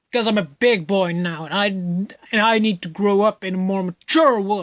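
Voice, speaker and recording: Someone puts on a character voice that sounds smug and whiny. The middle-pitched, whiny delivery moves at a moderate pace. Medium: read story. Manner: smug, whiny.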